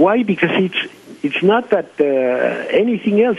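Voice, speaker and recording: The intonation is lively, with noticeable background noise behind the voice. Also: man. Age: 70s. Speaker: doctor. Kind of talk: radio interview. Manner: halting, many fillers.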